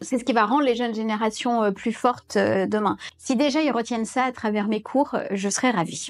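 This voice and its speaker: A woman talks in an ordinary speaking voice. Her pitch is fairly high, with ordinary variation. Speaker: consultant and business school lecturer. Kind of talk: interview testimonial.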